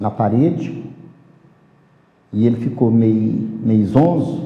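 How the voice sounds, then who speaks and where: A man's voice with vocal fry, ordinary pitch variation and audible room echo. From rural Brazil. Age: 70s. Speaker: capoeira master. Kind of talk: life story interview.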